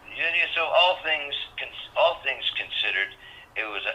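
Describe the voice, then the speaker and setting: Noticeable background noise accompanies a man's speech at a moderate pace. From Canada, Montreal. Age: 70s. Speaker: rock drummer and author. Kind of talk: interview. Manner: halting, many restarts.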